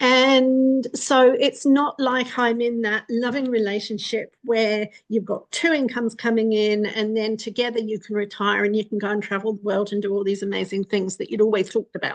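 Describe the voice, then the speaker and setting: A woman's fairly high voice at a moderate pace with hardly any pauses, fairly even intonation, and an ordinary speaking voice. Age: 60s. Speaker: vlogger. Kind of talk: casual monologue. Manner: conversational.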